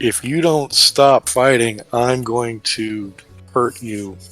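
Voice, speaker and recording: Over faint music in the background, a man in a put-on character voice speaks at a very slow pace and medium pitch. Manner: mean, intimidating.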